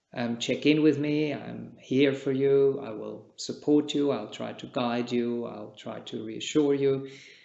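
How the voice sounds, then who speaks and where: A man's medium-pitched voice at a fairly slow pace, fairly even intonation, big swings in loudness, hardly any pauses, and audible room echo. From Switzerland. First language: Czech. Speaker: meditation teacher, Buddhist monk. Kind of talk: dharma talk. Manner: calm, measured.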